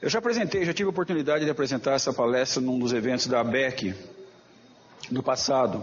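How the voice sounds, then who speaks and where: At a fairly quick pace, a man speaks in a medium pitch with ordinary pitch variation. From interior of São Paulo state (Jaboticabal). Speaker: professor and journal editor. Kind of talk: lecture. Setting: auditorium.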